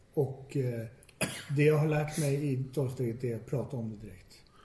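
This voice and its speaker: A man speaks with a medium pitch and a dark, mellow, somewhat breathy tone. His pitch varies in an ordinary way, with audible room echo around him. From Stockholm, Sweden. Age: 40s. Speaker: recovering addict. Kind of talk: personal testimony. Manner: halting, repetitive.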